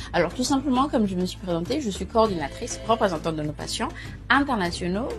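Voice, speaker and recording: With clear music behind her, this woman talks fairly quickly. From Gabon. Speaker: patient consultant. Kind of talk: casual talk to camera.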